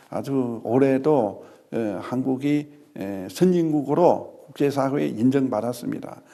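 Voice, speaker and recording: A man with a medium pitch and a dark, mellow tone talks at a very slow pace, his pitch varying in an ordinary way. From China. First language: Chinese (speaking Korean). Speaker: ambassador. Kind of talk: formal interview. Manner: halting, many fillers.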